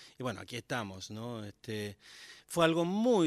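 A man's medium-pitched voice comes through dry and close with no echo, in a very clean recording with a silent background. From Argentina, Formosa province (Las Lomitas). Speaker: singer-songwriter. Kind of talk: casual radio interview. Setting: radio studio, live. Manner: hesitant, many fillers and repetitions.

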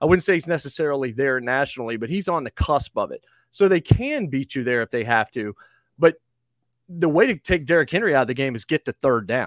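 At a fairly quick pace, a man with an American accent and a fairly high pitch talks in an ordinary speaking voice with lively intonation, the sound dry and close with no echo. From the Carolinas, US South. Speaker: sports radio host. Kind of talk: interview.

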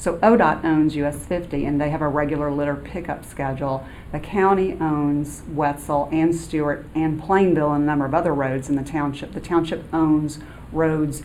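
A woman talks at a moderate pace in a very deep, low pitch. Noticeable background noise runs behind her. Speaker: township administrator. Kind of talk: formal public meeting. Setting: township meeting room.

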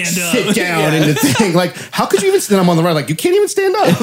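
A man speaks at a very fast pace, his loudness very even. There is noticeable background noise. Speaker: podcast co-host. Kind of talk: casual, slangy ("bro", "man", "dude"). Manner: enthusiastic.

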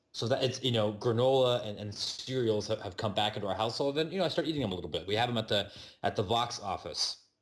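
Pitched at a medium level with ordinary variation, a man's voice races along at a very fast pace. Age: 30s. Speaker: sports podcast host and editor. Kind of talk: casual chat. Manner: halting, many repetitions.

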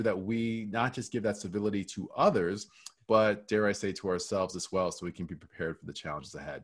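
This is an unremarkable speaking voice with ordinary pitch variation, moving at a fairly quick pace. The recording is very clean, with a silent background. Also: man. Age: 40s. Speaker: keynote speaker on workplace culture. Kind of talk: interview.

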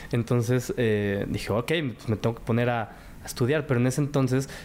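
Fairly quick in pace, a man speaks at medium pitch. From Mexico. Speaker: cooking show winner and TV host. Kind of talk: interview testimony.

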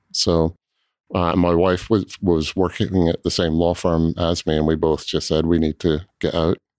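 A man with a slight Scottish accent speaks with very deep, low pitch in a monotone, flat delivery at a moderate pace. The loudness stays very even, the sound dry and close with no echo on a very clean recording with a silent background. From Scotland. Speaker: cooperage owner. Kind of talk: casual interview.

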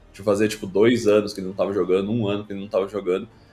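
A man speaks with music in the background. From Brazil, Rio Grande do Sul. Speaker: streamer and former pro gamer. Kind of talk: casual interview chat.

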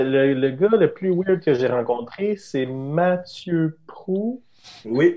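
With lively intonation, a man speaks at a very slow pace. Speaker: podcast host. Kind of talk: casual chat. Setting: livestream on Twitch.

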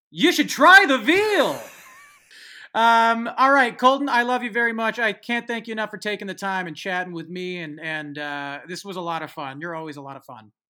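A man's high, raised, projected voice with very wide pitch swings, bright, sharp tone, big loudness swings and moderate pace, on a very clean recording with a silent background. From San Francisco Bay Area. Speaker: podcast host and songwriter. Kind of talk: casual chat.

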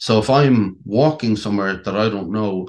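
Fairly quick speech in a western Irish accent with ordinary pitch variation. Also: man. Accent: Irish (west of Ireland). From Ireland, County Clare. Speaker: actor with a brain injury. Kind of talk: interview, personal story. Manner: halting.

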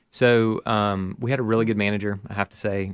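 Recorded very cleanly against a silent background, with a dry, close sound and no echo, a man talks at a very fast pace in a fairly low voice with fairly even intonation. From Birmingham, Alabama. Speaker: music school founder and former band musician. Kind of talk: interview.

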